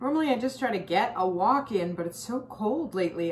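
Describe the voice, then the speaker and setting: There is light background noise as a woman talks at a moderate pace with lively intonation. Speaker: health coach vlogger. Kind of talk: casual vlog chat. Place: kitchen. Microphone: phone near.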